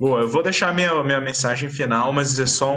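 A man talks at a moderate pace. Behind him is noticeable background noise. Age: 20s. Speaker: podcast co-host. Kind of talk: casual chat.

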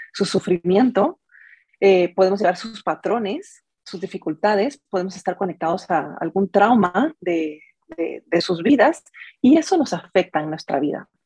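With a dark, mellow tone at medium pitch, a woman speaks at a fairly slow pace with lively intonation, the sound dry and close with no echo. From Guatemala. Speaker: family constellations therapist and coach. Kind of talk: interview. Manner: halting.

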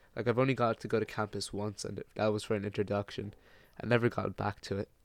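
A man's fairly low, monotone voice with flat intonation and an Irish accent, in a very clean recording with a silent background. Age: 20s. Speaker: design student podcast co-host. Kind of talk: casual chat.

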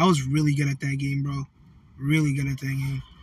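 Fairly high-pitched and somewhat breathy, a man is speaking. His intonation stays monotone and flat. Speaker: podcast co-host, restaurant worker. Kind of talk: casual chat. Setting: outdoors.

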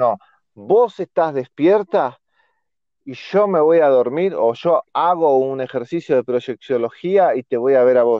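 A man with a Rioplatense accent speaks very slowly, his fairly high pitch moving with lively intonation. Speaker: podcast co-host. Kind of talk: casual chat.

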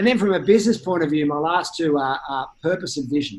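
With an Australian accent, a man talks at a fairly quick pace and fairly high pitch with lively intonation. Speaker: insurance startup CEO. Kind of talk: interview. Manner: halting, repeats words.

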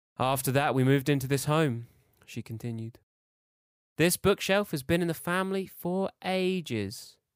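In a very clean recording with a silent background, a man with an unremarkable speaking voice and fairly high pitch talks at a moderate pace with lively intonation. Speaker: fiction podcaster reading his own story. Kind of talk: horror fiction narration, read aloud. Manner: measured, suspenseful storytelling pace.

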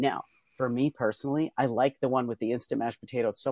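At a fairly quick pace, a man with an American accent speaks at medium pitch in an animated tone. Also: dry, close sound with no echo. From Pennsylvania, US. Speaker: trapeze artist and author. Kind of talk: casual interview chat. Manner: fast talker; animated, laughs often.

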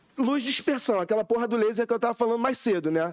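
A man speaks at an extremely high pitch and a very fast pace with lively intonation, in a dry, close sound with no echo. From Rio de Janeiro, Brazil. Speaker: AI engineer and musician. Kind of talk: casual chat.

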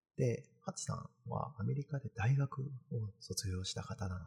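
A man's voice with vocal fry and lively intonation. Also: dry, close sound with no echo. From Kanagawa, Japan. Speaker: postdoctoral researcher and live-stream host. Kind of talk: casual live-stream talk. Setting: live stream in virtual space.

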